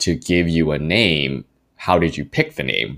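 With an American accent, a man speaks at a very deep, low pitch with vocal fry. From US, Taiwanese American family. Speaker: podcast co-host. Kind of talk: casual chat.

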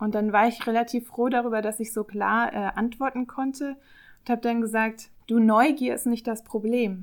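In a very clean recording with a silent background, a woman with a plain, everyday voice speaks at a moderate pace, her fairly high pitch following fairly even intonation. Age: 30s. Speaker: public relations officer. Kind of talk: podcast discussion.

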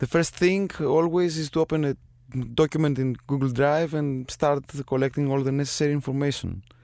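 In a Greek accent, a man talks at a fairly quick pace and fairly high pitch with fairly even intonation. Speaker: composer and sound designer. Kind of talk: interview.

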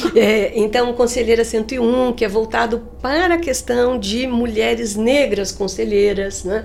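A woman talks at a fairly slow pace with a fairly high pitch and ordinary pitch variation. She hardly pauses, and noticeable background noise runs underneath. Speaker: business school professor. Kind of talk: interview conversation.

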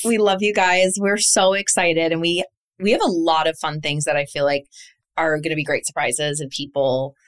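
An unremarkable speaking voice moves at a moderate pace. The sound is dry and close, with no echo. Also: woman, fairly low pitch for a woman, ordinary pitch variation. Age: late 30s. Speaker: podcast co-host.

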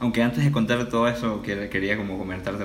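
A man speaks at a fairly quick pace with fairly even intonation. Audible room echo and noticeable background noise surround him. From Venezuela (Caracas). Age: 20s. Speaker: student. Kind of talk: casual interview conversation.

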